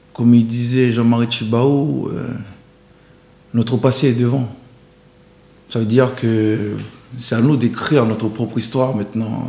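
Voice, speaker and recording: Long, frequent pauses break up a man's speech amid noticeable background noise. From New Caledonia. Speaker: painter and singer. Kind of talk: interview answer.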